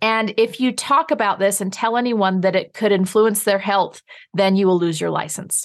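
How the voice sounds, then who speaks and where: A woman at a medium pitch against a quiet background. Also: ordinary pitch variation. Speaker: holistic dentist. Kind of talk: interview. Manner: fast.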